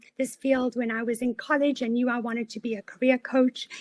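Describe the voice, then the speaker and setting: With a South African accent, a high-pitched woman talks in a monotone, flat intonation, and the sound is dry and close with no echo. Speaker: career coach. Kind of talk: webinar presentation.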